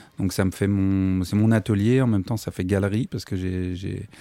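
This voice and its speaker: On a very clean recording with a silent background, a man talks at a moderate pace with fairly even intonation. His fairly low voice has a dark, mellow tone. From Paris region (Versailles). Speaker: painter and art restorer. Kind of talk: casual radio interview. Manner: hesitant, many fillers.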